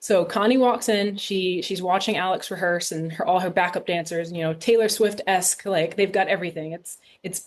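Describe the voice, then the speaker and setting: A woman with a plain, everyday voice, medium in pitch, at a moderate pace. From US Northeast, Rhode Island. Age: 30s. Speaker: film director. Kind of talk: podcast interview.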